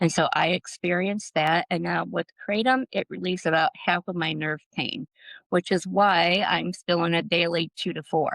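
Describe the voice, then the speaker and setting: Her voice has vocal fry and fairly even intonation, and the woman sounds dry and close with no echo over a quiet background. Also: fairly low pitch for a woman, moderate pace. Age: 60s. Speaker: botanical policy advocate. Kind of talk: interview podcast.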